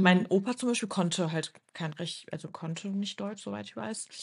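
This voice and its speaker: A woman with a medium pitch talks at a moderate pace with ordinary pitch variation against a quiet background, a plain, everyday voice. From Düsseldorf, Germany. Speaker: podcast co-host. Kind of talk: casual chat. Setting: at home, remote recording.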